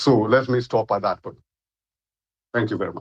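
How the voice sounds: A man with a fairly low voice talks at a moderate pace, his pitch moving in an ordinary way.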